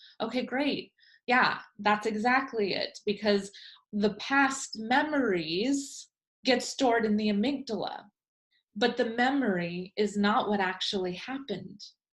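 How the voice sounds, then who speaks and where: Her voice is fairly high for a woman and somewhat breathy, moving at a fairly slow pace with ordinary pitch variation. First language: Spanish. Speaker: life coach trainer. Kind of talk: lecture.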